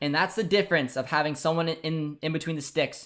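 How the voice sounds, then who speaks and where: A man's fairly high voice with a Canadian accent, an animated tone and a very fast pace, on a very clean recording with a silent background. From Canada. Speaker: football channel host. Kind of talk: live match watchalong commentary. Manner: repetitive filler-heavy speech.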